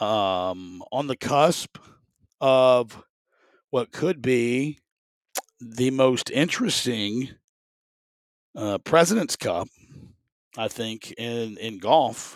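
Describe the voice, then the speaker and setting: A man's medium-pitched voice with a Southern US accent, very slow with long, frequent pauses and ordinary pitch variation, in a dry, close recording with no echo. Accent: Southern US (Georgia). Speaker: sports podcast host and stadium announcer. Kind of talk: casual solo sports talk. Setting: home studio.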